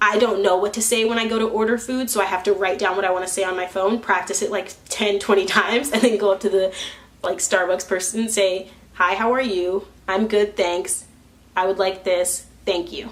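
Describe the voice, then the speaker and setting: Over noticeable background noise, a woman speaks at a fairly quick pace with a medium pitch and fairly even intonation. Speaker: vlogger. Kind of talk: casual vlog monologue. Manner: loud; halting.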